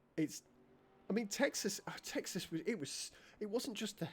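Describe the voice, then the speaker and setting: Here a man speaks in a British accent. His pace is moderate. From Britain. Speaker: video game streamer. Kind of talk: casual chat. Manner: animated.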